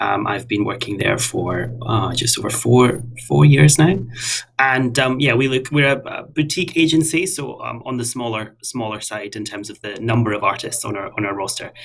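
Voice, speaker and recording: A man's medium-pitched voice at a moderate pace, with lively intonation and noticeable background noise. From west of Scotland. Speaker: artist manager. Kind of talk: casual interview.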